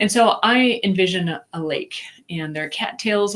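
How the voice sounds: With a Minnesotan accent, a woman speaks at a fairly slow pace in a medium pitch with lively intonation. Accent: Minnesota.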